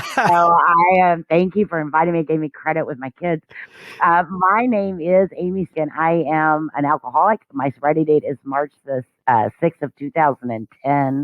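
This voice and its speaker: A woman with an American accent and a very deep, low pitch, speaking at a moderate pace with ordinary pitch variation. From Kentucky, Louisville area. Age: 50s. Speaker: recovering alcoholic sharing story. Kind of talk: interview / testimony.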